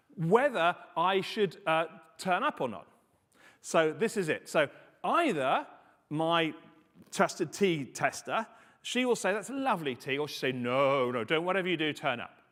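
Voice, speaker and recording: An animated man with a British accent speaks at a high pitch with lively intonation, leaving long, frequent pauses. The recording is very clean, with a silent background. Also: moderate pace. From UK. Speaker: conference speaker on confidential computing. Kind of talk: conference talk.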